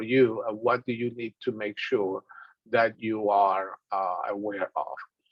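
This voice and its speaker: A man with a strong Dominican accent speaks fairly slowly, his intonation fairly even. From Dominican Republic. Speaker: business instructor. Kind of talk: lecture.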